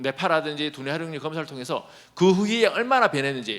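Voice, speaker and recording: This man has a fairly high pitch. He talks at a fairly quick pace. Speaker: professor. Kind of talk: conference presentation. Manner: fast; clear articulation.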